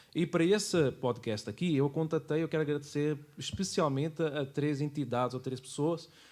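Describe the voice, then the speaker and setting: Here a man talks at a moderate pace with a fairly high pitch, ordinary pitch variation and hardly any pauses. The recording is very clean with a silent background. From Portugal. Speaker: church worker and history presenter. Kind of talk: casual interview chat.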